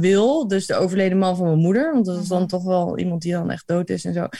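A woman's voice has a somewhat breathy quality. She moves along at a fairly quick pace. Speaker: podcast co-host. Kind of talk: casual chat.

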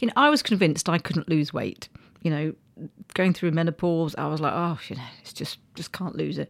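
Speaking at a fairly quick pace, a woman with a fairly low pitch, vocal fry and ordinary pitch variation shows big swings in loudness. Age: 50s. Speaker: podcast co-host. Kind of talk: casual chat. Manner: halting.

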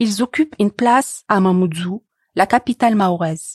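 A woman's medium-pitched voice, an ordinary speaking voice with ordinary pitch variation, dry and close with no echo, over a quiet background. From Tunisia. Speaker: narrator and former doctoral student. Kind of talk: scripted narration.

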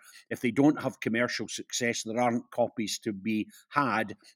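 A man with a Scottish accent at a medium pitch and moderate pace, fairly even intonation, in a dry, close sound with no echo and a very clean recording over a silent background. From Scotland, Perth. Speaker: author and broadcaster. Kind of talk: interview.

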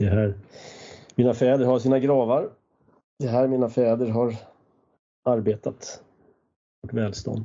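A man at medium pitch, monotone and flat, fairly slow, with long, frequent pauses. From Sweden. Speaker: podcast host. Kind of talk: casual chat.

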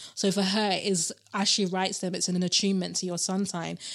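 At a fairly quick pace, a woman with a British accent speaks at a medium pitch in a monotone, flat intonation, on a very clean recording with a silent background. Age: 30s. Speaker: tarot reader and PhD student. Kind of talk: casual interview chat.

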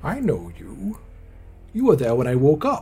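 A put-on character voice from a man, fairly high in pitch, at a moderate pace

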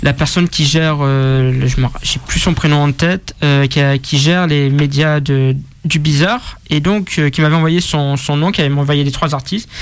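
Fairly high-pitched, a man speaks at a fairly slow pace with very even loudness and fairly even intonation. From Marseille, southern France. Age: 20s. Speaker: rap media founder. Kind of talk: casual interview. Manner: halting.

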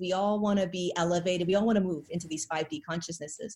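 Somewhat breathy, a woman's voice moves at a fairly quick pace. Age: 40s. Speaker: spiritual channel and ascension guide. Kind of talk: casual interview.

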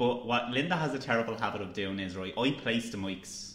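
A man with an Irish accent, with audible room echo and noticeable background noise. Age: young. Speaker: podcast co-host, student journalist. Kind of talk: casual chat. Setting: studio table with mics.

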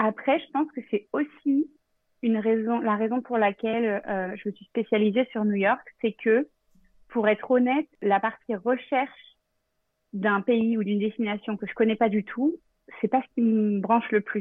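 A woman with an ordinary speaking voice talks at a fairly slow pace in a fairly high pitch. Her loudness swings a lot while her pitch varies in an ordinary way. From Normandy, France. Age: 30s. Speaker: travel planner. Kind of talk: casual interview.

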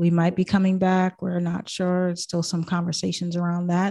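A woman with an American accent talks at a moderate pace in a medium pitch. Hers is a normal speaking voice, set against a quiet background. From Boston, US. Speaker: life coach and podcast host. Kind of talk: casual interview chat.

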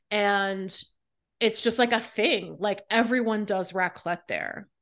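Her unremarkable speaking voice sits at a medium pitch, and the woman's intonation is fairly even. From California and North Carolina, US. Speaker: food writer. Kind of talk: casual chat.

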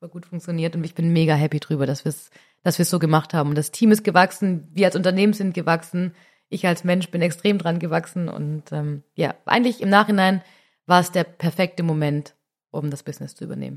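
In a very clean recording with a silent background, a woman with a plain, everyday voice speaks at a fairly quick pace and a fairly low pitch, with fairly even intonation and big swings in loudness. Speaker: cosmetics company executive. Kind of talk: casual chat.

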